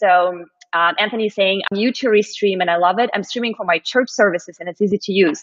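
A woman's medium-pitched voice in a Russian accent, with ordinary pitch variation. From Russia, Moscow. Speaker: live stream show host. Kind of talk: casual interview. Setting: live stream video call.

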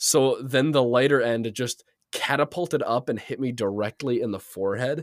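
A man talks in a normal speaking voice at a moderate pace, with medium pitch and ordinary pitch variation. The sound is dry and close with no echo. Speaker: podcast host. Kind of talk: casual chat. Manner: joking, laughs often.

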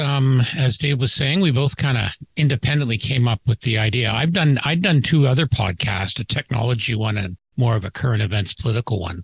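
At a moderate pace and with hardly any pauses, a man speaks in a somewhat breathy, medium-pitched voice with lively intonation, recorded dry and close with no echo.

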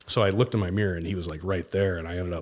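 Talking at a very fast pace, a man with an American accent has a very deep, low voice, captured on a very clean recording with a silent background. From Mankato, Minnesota. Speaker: mortgage loan originator. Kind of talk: casual chat.

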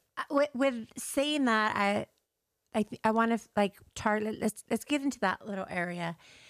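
A woman's fairly high, animated voice at a moderate pace with ordinary pitch variation, in a dry, close sound with no echo. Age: 40s. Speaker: podcast host. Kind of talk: casual chat; guided meditation.

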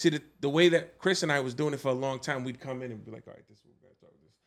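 A man rattles along at a very fast pace with a Brooklyn accent. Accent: New York (Brooklyn). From Brooklyn, New York (Flatbush). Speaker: guest. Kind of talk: casual chat.

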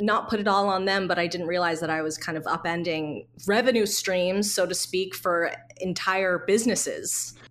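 A woman speaks at a moderate pace and medium pitch in a normal speaking voice. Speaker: advertising creative director. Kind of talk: casual interview chat. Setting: remote call.

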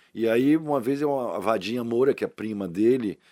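In a very clean recording with a silent background, a man with a medium-pitched voice and a dark, mellow tone speaks at a moderate pace. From Brazil, Salvador (Bahia). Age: 60s. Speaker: actor. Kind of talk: casual interview. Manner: animated.

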